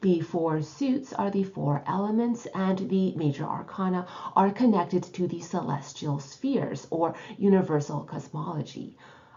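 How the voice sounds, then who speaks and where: Over noticeable background noise, a woman with a fairly low voice speaks at a moderate pace with lively intonation. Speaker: tarot teacher and author. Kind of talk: educational video lecture.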